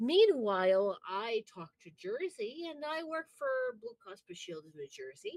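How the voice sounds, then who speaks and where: Speaking fairly slowly with an American accent, a woman uses a high pitch with very wide pitch swings and big swings in loudness, in a dry, close sound with no echo. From Upper Midwest US. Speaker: wrestling podcast host. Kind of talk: casual chat. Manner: animated.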